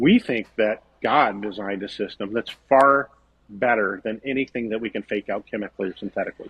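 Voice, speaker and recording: A man with a fairly low voice talks fairly quickly. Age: 60s. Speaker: vegetable farmer. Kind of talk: podcast interview. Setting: podcast. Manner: animated.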